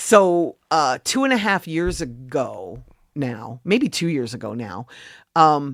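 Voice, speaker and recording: A woman with an American accent speaks in a very deep, low voice with vocal fry, her pitch swinging very widely in an animated tone. The sound is dry and close with no echo, on a very clean recording with a silent background. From Philadelphia suburbs, US. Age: 60s. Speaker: music industry advocate. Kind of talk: interview.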